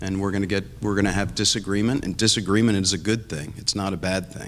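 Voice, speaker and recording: This man has a plain, everyday voice, pitched fairly low, with fairly even intonation. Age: 60s. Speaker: political candidate. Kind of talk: candidate debate.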